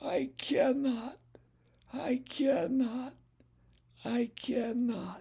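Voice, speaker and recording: A man uses a put-on character voice at an extremely high pitch. He talks at a very slow pace with long, frequent pauses. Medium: read story. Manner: weary, sighing.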